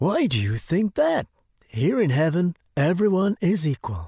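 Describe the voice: With a cartoonish character voice, the speaker swings very widely in pitch, carrying a dark, mellow tone with a slightly husky edge in a dry, close sound with no echo. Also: fairly slow pace, very clean recording, silent background.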